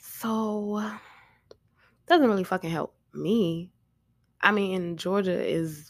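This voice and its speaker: A woman's voice comes through dry and close, with no echo. The recording is very clean, the background silent. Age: 30s. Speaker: podcast host. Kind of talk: casual monologue. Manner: loud.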